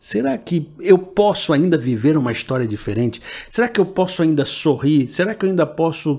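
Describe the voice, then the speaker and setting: This man has an ordinary speaking voice, fairly high in pitch, with lively intonation at a moderate pace. The recording is very clean, with a silent background. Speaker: pastor. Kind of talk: preacher exhortation, sermon-style appeal with call to receive the word. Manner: earnest, persuasive, rising fervor; direct, addresses listener personally.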